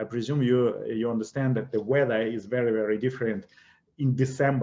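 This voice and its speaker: A man speaks with a Russian accent. He keeps a fairly quick pace. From Russia, Siberia. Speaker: investment educator. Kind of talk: webinar presentation.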